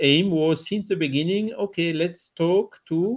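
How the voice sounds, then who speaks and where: This is a man speaking. He has a French accent. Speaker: spiritist radio co-host. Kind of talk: panel discussion. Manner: halting, many fillers.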